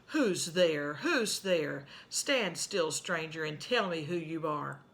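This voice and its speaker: A put-on character voice, growling at a middle pitch and delivered at a fairly slow pace. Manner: menacing, demanding.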